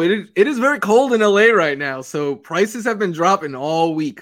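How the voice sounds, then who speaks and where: On a very clean recording with a silent background, a man with an American accent speaks at a moderate pace, his high pitch making very wide swings. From New York City. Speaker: fantasy football analyst. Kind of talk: casual chat.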